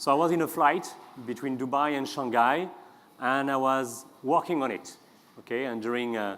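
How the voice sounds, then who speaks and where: With a strong French accent, a man speaks at a moderate pace amid audible room echo. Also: medium pitch for a man, ordinary pitch variation. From France. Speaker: customer experience consultant. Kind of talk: conference talk. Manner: hesitant, with many fillers.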